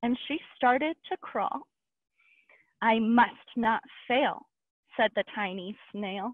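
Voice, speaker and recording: A woman speaks very slowly in a sing-song, lively lilt with a warm tone. The sound is dry with no echo, and the background is quiet. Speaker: park interpreter. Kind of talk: children's storytime reading a picture book aloud in rhyme. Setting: online video program, recorded session. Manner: animated, sing-song rhythmic read-aloud; warm, clear, child-friendly. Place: open country. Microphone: headset.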